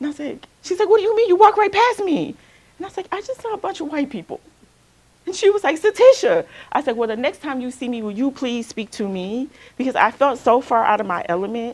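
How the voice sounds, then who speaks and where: A woman's high voice at a very fast pace, with very wide pitch swings and big swings in loudness. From Alabama, US South. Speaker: counselor. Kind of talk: workshop talk.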